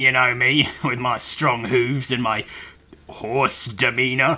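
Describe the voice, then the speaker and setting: At a fairly slow pace, a man does a put-on character voice at medium pitch. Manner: rambling.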